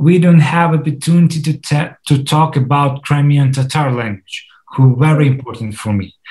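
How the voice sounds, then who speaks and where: This man has a fairly high pitch and a dark, mellow tone that is somewhat breathy. He speaks at a moderate pace with ordinary pitch variation. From Crimea. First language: Russian. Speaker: film director. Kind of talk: interview. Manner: halting, many fillers and restarts.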